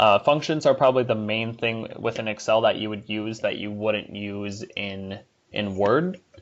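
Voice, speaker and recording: A man with a normal speaking voice talks at a fairly slow pace. His pitch is fairly low, with ordinary pitch variation. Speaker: workplace software trainer. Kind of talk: tutorial.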